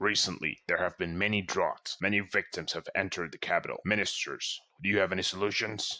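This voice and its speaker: Using a put-on character voice, a man talks fairly quickly at a fairly low pitch with fairly even intonation. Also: hardly any pauses. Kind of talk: formal court speech. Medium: fan dub. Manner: measured, authoritative.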